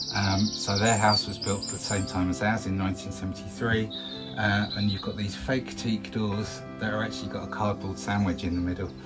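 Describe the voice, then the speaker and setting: Clear background music behind a moderately paced man. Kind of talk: casual vlog chat. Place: bar.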